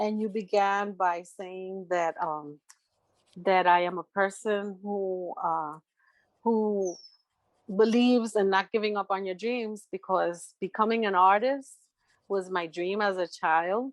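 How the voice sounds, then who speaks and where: A woman speaks at a very slow pace. The sound is dry with no echo, and the background is quiet. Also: fairly even intonation. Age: 60s. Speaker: artist and tarot reader; interviewee. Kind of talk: interview. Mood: warm, reflective, encouraging. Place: home room. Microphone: video call.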